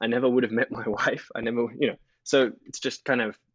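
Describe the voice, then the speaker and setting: Speaking at a fairly quick pace, a man with an Australian accent keeps a monotone, flat intonation. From Australia, Sydney. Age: 30s. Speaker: investor. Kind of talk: casual chat.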